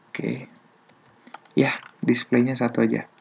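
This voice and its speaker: A soft-spoken man amid noticeable background noise. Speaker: programming tutorial youtuber. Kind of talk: tutorial. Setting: at home at night. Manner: soft-spoken, quiet; casual slang-heavy.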